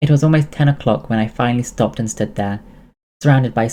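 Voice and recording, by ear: Reading aloud in a natural voice, usual pitch movement, a quiet background behind it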